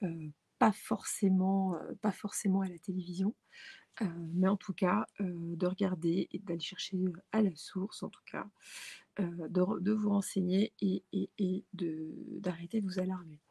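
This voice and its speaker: Somewhat breathy, a woman speaks at a medium pitch and a fairly slow pace. Her intonation is fairly even, and the sound is dry and close with no echo. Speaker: tarot card reader. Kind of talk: tarot reading. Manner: halting, many hesitations.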